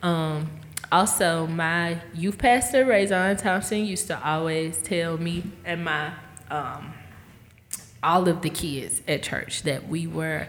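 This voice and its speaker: A woman's fairly low voice with ordinary pitch variation, amid noticeable background noise and audible room echo. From Mississippi. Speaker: musician. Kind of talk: casual chat.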